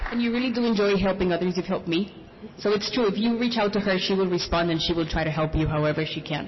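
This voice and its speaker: A woman with a non-native accent speaks at a very fast pace, her pitch medium and its variation ordinary. Her loudness stays very even, and there is noticeable background noise. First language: not English. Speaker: small business founder. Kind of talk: panel discussion.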